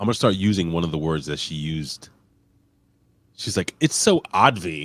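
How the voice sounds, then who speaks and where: In a very clean recording with a silent background, a man with an American accent speaks at a moderate pace in a very deep, low voice. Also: ordinary pitch variation. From New York. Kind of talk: casual.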